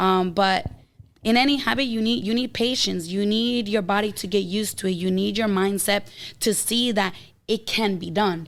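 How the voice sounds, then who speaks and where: A plain, everyday voice from a woman at medium pitch, ordinary pitch variation and moderate pace, on a very clean recording with a silent background. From outside the US, moved there as a child. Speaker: health coach and entrepreneur. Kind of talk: casual podcast interview.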